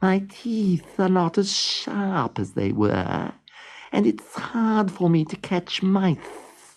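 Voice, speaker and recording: The speaker puts on a character voice, pitched in the middle and delivered at a very slow pace. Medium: read story. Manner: complaining.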